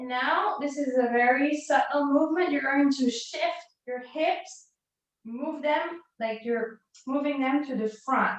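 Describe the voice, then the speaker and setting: A woman with a non-native accent talks at a fairly slow pace in a high voice with ordinary pitch variation. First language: not English. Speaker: fitness instructor. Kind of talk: live workout class instruction.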